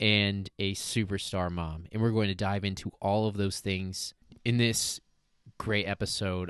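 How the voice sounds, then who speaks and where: Over a quiet background, a man speaks at a fairly slow pace and fairly low pitch with monotone, flat intonation. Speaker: podcast host. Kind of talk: interview.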